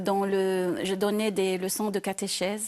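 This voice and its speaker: Her tone is dark and mellow. The woman speaks at a very slow pace against a quiet background. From Syria, Aleppo. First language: Arabic (speaking French). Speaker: quiz contestant. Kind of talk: interview. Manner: halting.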